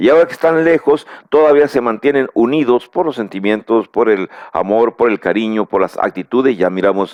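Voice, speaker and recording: A man talks at a fairly quick pace with a Mexican accent and medium pitch. His intonation is lively while his loudness stays very even. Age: 60s. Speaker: preacher. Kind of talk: bible teaching lecture. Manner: halting, with fillers and repeated words.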